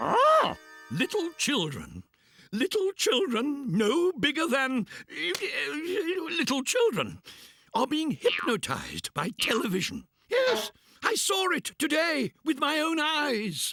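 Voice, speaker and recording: A cartoonish character voice with a high pitch. It moves at a fairly slow pace. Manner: excitable, plummy, chuckling.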